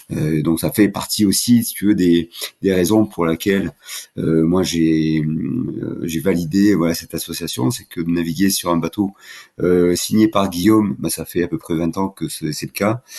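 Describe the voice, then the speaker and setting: A man's very deep, low voice, dark and mellow, with ordinary pitch variation at a fairly slow pace. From southern France (Languedoc). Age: 60s. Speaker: offshore sailing skipper. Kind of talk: podcast interview. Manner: hesitant, many fillers and repetitions.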